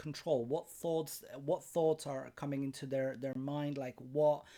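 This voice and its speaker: Speaking with a Polish accent, a man has a fairly high pitch and a dark, mellow tone. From Poland. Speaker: life coach. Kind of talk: webinar presentation. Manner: halting, with self-corrections.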